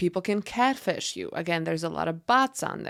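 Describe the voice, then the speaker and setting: On a very clean recording with a silent background, a woman with a normal speaking voice and fairly low pitch talks at a fairly quick pace. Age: 30s. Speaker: podcast host. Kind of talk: solo podcast monologue. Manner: conversational.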